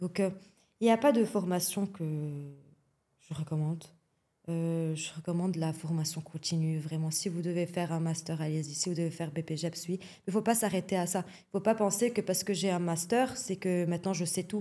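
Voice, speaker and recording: Speaking at a moderate pace with long, frequent pauses, a woman with a Lebanese accent has a fairly low, somewhat breathy voice, a dark, mellow tone and ordinary pitch variation. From Lebanon. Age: young. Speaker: athletics coach. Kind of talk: podcast interview. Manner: frequent hesitations (euh).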